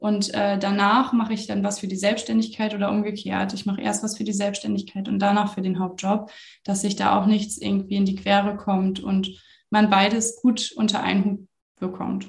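Somewhat breathy, a woman speaks at a moderate pace with a monotone, flat intonation. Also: medium pitch for a woman. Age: 30s. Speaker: social media consultant. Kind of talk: interview.

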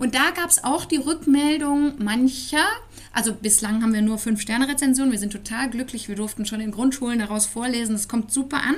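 Fairly quick, high female speech with ordinary pitch variation. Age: 40s. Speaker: parenting blogger and author. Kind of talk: interview. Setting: in person.

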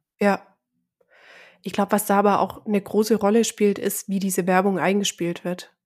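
A woman of medium pitch speaks in a monotone, flat way at a moderate pace. Her long, frequent pauses fall in a very clean recording with a silent background. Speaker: podcast co-host. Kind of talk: casual chat.

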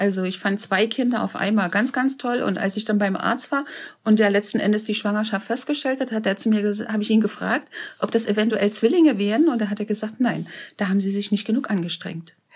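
At a fairly quick pace, a woman with a slight Saxon accent speaks in a fairly high, somewhat breathy voice with ordinary pitch variation. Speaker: interviewee, host's mother. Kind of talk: personal storytelling interview.

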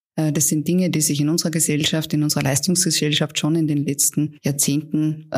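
Very clean audio of a woman with a very deep, low pitch, the background silent. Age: 40s. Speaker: palliative care physician. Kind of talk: interview.

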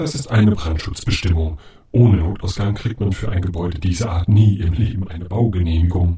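A man does a put-on character voice with a very deep, low pitch. He talks at a fairly quick pace. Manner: dry, matter-of-fact.

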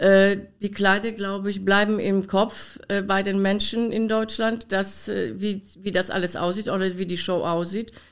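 Her speech comes at a fairly slow pace with hardly any pauses. The woman's voice sits at medium pitch, monotone with flat intonation. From Poland. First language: Polish (speaking German). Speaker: dance costume designer and former dancer. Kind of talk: interview. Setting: her studio.

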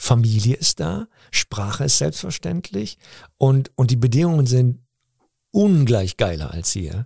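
A man with a dark, mellow, somewhat breathy voice at medium pitch speaks at a fairly slow pace with long, frequent pauses and very wide pitch swings, in a dry, close sound with no echo. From Cologne, Germany (Nippes). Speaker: comedian and actor. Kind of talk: interview. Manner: halting.

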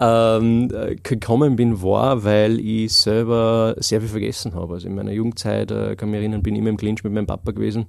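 Talking at a fairly quick pace, a man keeps a fairly low pitch and fairly even intonation. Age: 30s. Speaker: memory trainer. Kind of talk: interview. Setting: studio. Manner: hesitant, many filler sounds.

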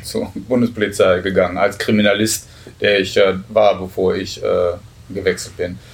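This man's fairly low voice stays monotone and flat as he talks at a moderate pace. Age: 50s. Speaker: federal police officer and union official. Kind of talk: interview. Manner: hesitant, many filler sounds.

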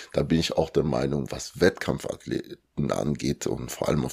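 A man is speaking. He keeps a moderate pace. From Germany (Lower Saxony, then Cologne), born in Congo. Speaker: bodybuilding athlete and coach. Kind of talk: interview.

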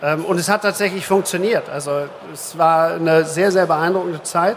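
A man talks in a high voice with fairly even intonation. Noticeable background noise is present. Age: 50s. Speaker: insurance executive. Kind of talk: live stage interview. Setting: conference stage with audience.

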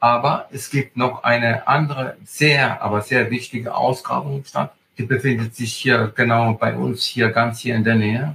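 At a fairly slow pace, a man talks with fairly even intonation at a medium pitch. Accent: Italian. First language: Italian (speaking German). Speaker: agritourism host and hiking guide. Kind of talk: interview. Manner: halting, with many fillers.

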